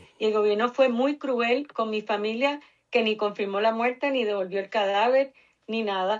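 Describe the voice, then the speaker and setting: In a Puerto Rican accent, a woman speaks in a fairly high pitch with fairly even intonation. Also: moderate pace. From Puerto Rico, Cuban family. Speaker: researcher, nonprofit director. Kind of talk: interview.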